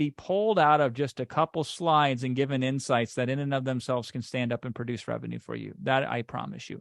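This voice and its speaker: The sound is dry and close, with no echo and a quiet background. A man talks at a medium pitch. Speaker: online course creator. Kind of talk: webinar sales pitch. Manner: fast; animated.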